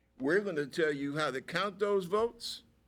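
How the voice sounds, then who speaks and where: With an American accent and ordinary pitch variation, a man speaks in a very clean recording with a silent background. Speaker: talk show host; navy veteran. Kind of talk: political commentary discussion. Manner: slow when thinking.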